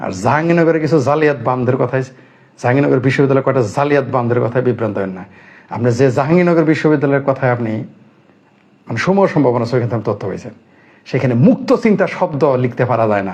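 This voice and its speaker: A man talks at a medium pitch with ordinary variation in his pitch. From Bangladesh. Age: 50s. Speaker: political commentator. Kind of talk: political commentary monologue. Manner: animated.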